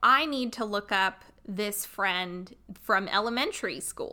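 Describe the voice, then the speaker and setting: A woman speaks loudly and very slowly in a bright, sharp, fairly high voice, captured in a very clean recording with a silent background. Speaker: podcast host, psychic healer. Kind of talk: storytelling monologue. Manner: casual, chatty.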